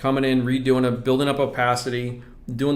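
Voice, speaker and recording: Amid audible room echo, a man of medium pitch talks at a very fast pace. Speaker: scale model painting instructor. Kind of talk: live stream tutorial. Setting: live stream. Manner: casual, fast, self-correcting.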